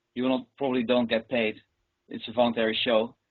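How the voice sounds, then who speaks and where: The speaker has a Dutch accent and a fairly quick pace. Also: man. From Netherlands. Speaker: professional juggler. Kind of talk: interview.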